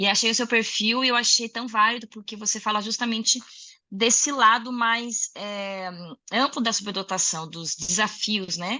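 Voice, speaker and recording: A plain, everyday voice from a woman, fairly high in pitch, at a fairly slow pace with ordinary pitch variation. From Rio Grande do Sul, southern Brazil. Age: 30s. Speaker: music educator and singer. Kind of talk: interview conversation.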